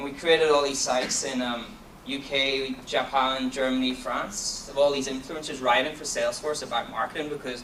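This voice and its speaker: Against noticeable background noise and audible room echo, a man with a Donegal accent talks at a fairly quick pace and medium pitch with fairly even intonation. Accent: Donegal Irish. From Ireland, County Donegal. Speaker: marketing executive. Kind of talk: conference talk. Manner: fast.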